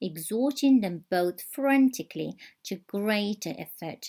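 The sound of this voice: Lively intonation fills an unforced reading voice set against a quiet background.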